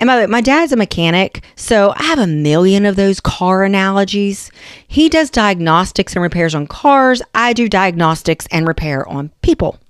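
In an Appalachian accent, a woman with a medium-pitched voice talks at a moderate pace with hardly any pauses and very wide pitch swings, the sound dry and close with no echo. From West Virginia. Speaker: nurse practitioner, podcast host. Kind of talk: educational podcast monologue. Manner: casual, conversational.

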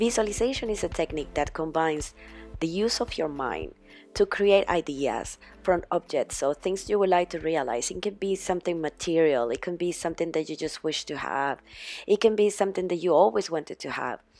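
Music plays in the background as a woman talks at a fairly quick pace. Her fairly low voice has lively intonation. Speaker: podcast host. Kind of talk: casual monologue. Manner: animated.

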